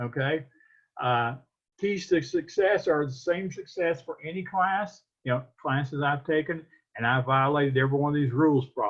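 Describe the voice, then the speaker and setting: At a moderate pace, a man with a fairly high pitch and ordinary pitch variation sounds somewhat breathy. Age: 60s. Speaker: college professor. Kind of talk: lecture. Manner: halting.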